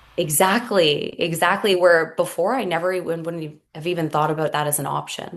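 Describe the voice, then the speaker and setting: Here is a woman with a Canadian accent and an unremarkable speaking voice. She uses a fairly low pitch and fairly even intonation, with hardly any pauses. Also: moderate pace. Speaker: hypnotist and mother. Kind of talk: podcast interview.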